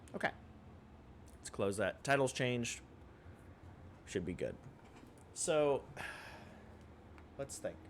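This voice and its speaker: Pitched at a medium level, a man speaks with lively intonation at a fairly slow pace. He leaves long, frequent pauses. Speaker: streamer. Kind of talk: casual live-stream talk. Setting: streaming setup with soft background music. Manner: hesitant, many fillers.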